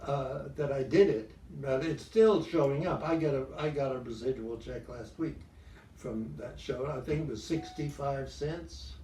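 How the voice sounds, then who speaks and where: A man with a fairly high pitch talks at a fairly slow pace with ordinary pitch variation, and the recording has audible room echo and noticeable background noise. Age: 90s. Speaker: actor. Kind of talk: interview. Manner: halting.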